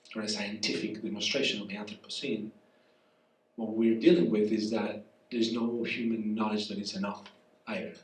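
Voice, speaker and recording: With a Spanish accent, the speaker talks at a fairly quick pace with fairly even intonation and long, frequent pauses, amid noticeable background noise and audible room echo. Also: man, fairly low pitch for a man. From southern Spain, rural. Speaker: professor. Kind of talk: public conversation. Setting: cafe event with audience.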